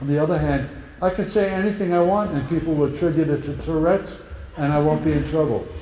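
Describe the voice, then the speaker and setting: Amid noticeable background noise and audible room echo, a man with fairly high pitch speaks at a very fast pace, his pitch varying in an ordinary way. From Netherlands. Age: 80s+. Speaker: Holocaust survivor speaker. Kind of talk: talk and Q&A with students. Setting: school event with audience.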